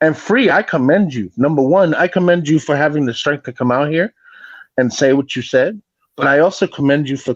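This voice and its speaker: With a New York accent and lively intonation, the speaker talks at a fairly quick pace in a dry, close sound with no echo. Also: man. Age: 40s. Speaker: former grief counselor, guest commentator. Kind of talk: casual chat.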